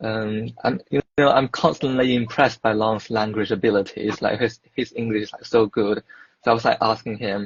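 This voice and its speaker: Fairly even intonation marks a man speaking in a Mandarin accent. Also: medium pitch for a man, moderate pace. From China. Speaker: dietetics student. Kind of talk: casual chat. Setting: online live video chat.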